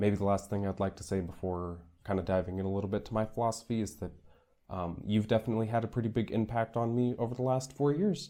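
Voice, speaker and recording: Talking very fast, a man with an American accent has a fairly low, dark, mellow voice with ordinary pitch variation. The recording is very clean with a silent background. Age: 20s. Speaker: Peace Corps volunteer. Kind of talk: monologue to camera. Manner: hesitant, many fillers.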